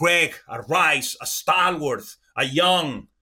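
A man's high-pitched voice comes across with an animated tone that is bright and sharp. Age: 50s. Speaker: sports analyst. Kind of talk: sports analysis show.

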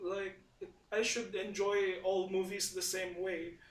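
A man speaks with a high pitch. His intonation is fairly even. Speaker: podcast host. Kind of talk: casual chat.

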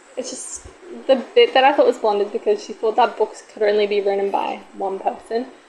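A woman's fairly high voice, fairly even in intonation and fairly quick in pace, over noticeable background noise. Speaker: podcast host. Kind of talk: casual chat. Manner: loud.

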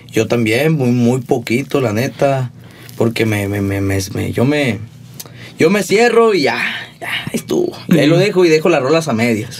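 Amid noticeable background noise, a man with a Sonoran accent talks at a medium pitch and a moderate pace. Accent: rural Sonoran. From Mexico, Sonora (Hermosillo). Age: 20s. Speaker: musician. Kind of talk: casual chat.

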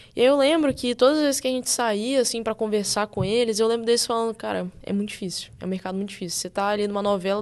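A woman with a fairly high pitch talks very fast with ordinary pitch variation against a quiet background. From Brazil, Espírito Santo. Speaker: actress and screenwriter. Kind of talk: casual interview chat.

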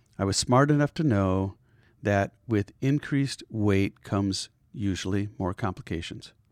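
Recorded dry and close with no echo, a man speaks at a fairly slow pace in a fairly low pitch with ordinary pitch variation. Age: 50s. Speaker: podcast host, heart surgery patient. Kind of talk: personal testimony. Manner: halting, many fillers.

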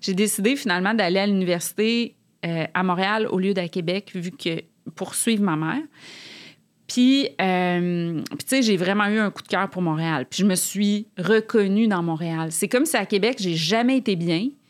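Against a silent background in a very clean recording, a woman with an unremarkable speaking voice and medium pitch talks at a fairly slow pace with ordinary pitch variation. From Quebec City, Quebec. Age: 40s. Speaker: author. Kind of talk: casual interview chat.

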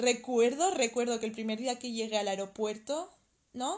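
In an ordinary speaking voice, a woman talks at a fairly high pitch and a fairly slow pace, with ordinary pitch variation over a quiet background. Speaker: podcast co-host. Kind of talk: casual chat.

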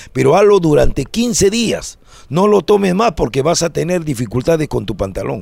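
A man speaks in a high voice at a moderate pace. His pitch swings very widely. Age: 60s. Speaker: comedian. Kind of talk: casual chat. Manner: animated.

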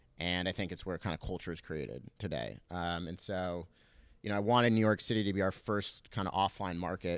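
With an American accent, a man speaks fairly quickly in a very deep, low pitch with vocal fry, on a very clean recording with a silent background. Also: ordinary pitch variation. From Southern California. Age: 30s. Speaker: startup founder. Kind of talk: interview. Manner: casual with many fillers.

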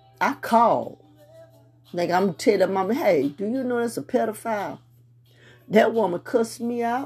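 Music plays in the background as a woman with a fairly high pitch and lively intonation speaks with long, frequent pauses. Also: moderate pace. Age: 50s. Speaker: podcast host. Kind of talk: casual monologue. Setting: home prayer room with music playing.

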